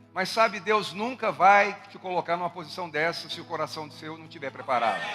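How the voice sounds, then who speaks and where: Amid noticeable background noise, a high-pitched man talks at a fairly quick pace, with ordinary pitch variation and big swings in loudness. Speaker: pastor. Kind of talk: sermon. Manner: gentle.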